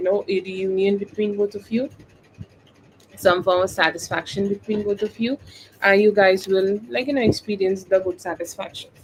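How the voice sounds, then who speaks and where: In a Bengali accent, a woman speaks at a medium pitch with fairly even intonation. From India, West Bengal. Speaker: tarot reader. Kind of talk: live-stream tarot reading; casual chat. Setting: live stream.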